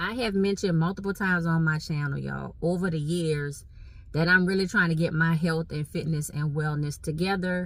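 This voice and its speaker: In a Southern Louisiana accent, a woman talks at a moderate pace with a fairly low pitch and ordinary pitch variation. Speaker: vlogger. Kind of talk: casual chat. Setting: in a car. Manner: animated.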